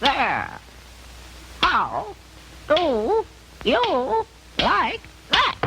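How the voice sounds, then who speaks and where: A cartoonish character voice speaks in a high pitch with very wide pitch swings. Clear background noise is audible. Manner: squawking, exclaiming "oh" constantly.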